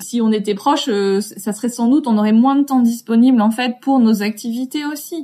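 Her voice is somewhat breathy with a dark, mellow tone, fairly high pitch and ordinary pitch variation as this woman speaks at a fairly quick pace. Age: 40s. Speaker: creative entrepreneur and author. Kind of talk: interview.

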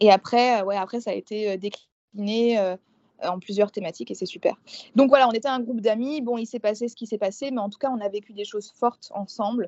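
A woman's unremarkable speaking voice, fairly high and fairly quick, with fairly even intonation and big swings in loudness. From eastern France, rural village. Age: 20s. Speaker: booktuber and doctoral student. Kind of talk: casual interview chat.

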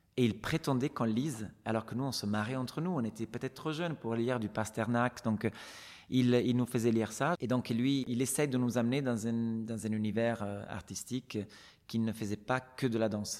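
With an Italian accent, a man speaks in fairly even intonation. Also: medium pitch for a man, moderate pace. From Italy, Venice. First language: Italian (speaking French). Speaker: retired ballet dancer. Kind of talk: interview.

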